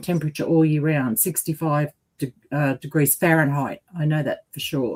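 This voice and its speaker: Her pitch is very deep and low, and she speaks with an Australian accent at a moderate pace. The woman's voice sounds dry and close, with no echo. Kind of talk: casual chat. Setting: livestream.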